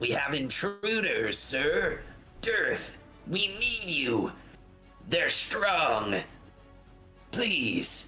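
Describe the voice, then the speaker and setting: Over clear music in the background, a man uses a raspy, high-pitched put-on character voice at a very slow pace, with long, frequent pauses and very even loudness. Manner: yelling, desperate, alarmed.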